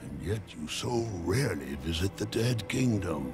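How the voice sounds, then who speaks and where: At a moderate pace, a man uses a put-on character voice with a very deep, low pitch over clear music in the background. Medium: game stream. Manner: sly, amused, drawn-out.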